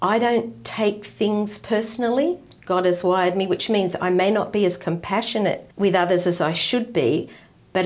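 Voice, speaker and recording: A woman talks at a moderate pace and medium pitch with an Australian accent. Her intonation is lively. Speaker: retired ministry wife. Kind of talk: interview testimony.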